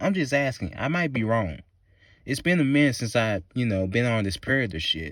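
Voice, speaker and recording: Very wide pitch swings mark this man's animated, medium-pitched delivery in a Southern US accent, at a fairly quick pace in a very clean recording with a silent background. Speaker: movie reviewer. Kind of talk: rant.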